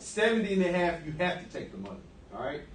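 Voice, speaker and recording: A man speaks with a high pitch. Audible room echo and noticeable background noise surround his voice. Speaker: guest speaker on personal finance. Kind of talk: classroom presentation. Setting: classroom with students. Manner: fast; casual, interactive.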